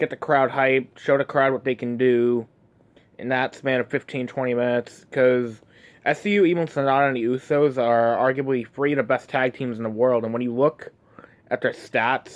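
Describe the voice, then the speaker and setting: The man's medium-pitched voice moves at a moderate pace with fairly even intonation, and the sound is dry and close with no echo. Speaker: wrestling fan vlogger. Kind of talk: casual monologue.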